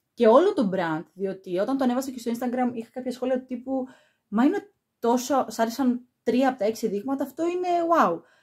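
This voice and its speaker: Her pitch is high and her intonation lively as a woman talks at a fairly quick pace. The background is quiet. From Greece. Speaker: perfume YouTuber; perfume reviewer. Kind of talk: product review vlog. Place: home room.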